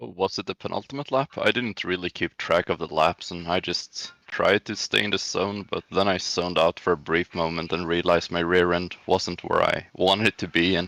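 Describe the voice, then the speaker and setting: A man with a Swedish accent speaks at a fairly quick pace with a very deep, low pitch and a bright, sharp tone, his intonation fairly even, in a very clean recording with a silent background and a dry, close sound with no echo. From Sweden. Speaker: sim racing driver. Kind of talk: post-race interview.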